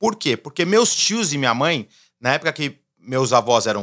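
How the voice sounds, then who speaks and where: Recorded very cleanly with a silent background, the sound is dry and close with no echo. A man speaks at a moderate pace with very wide pitch swings. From Brazil. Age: 40s. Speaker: entrepreneur. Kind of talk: casual interview.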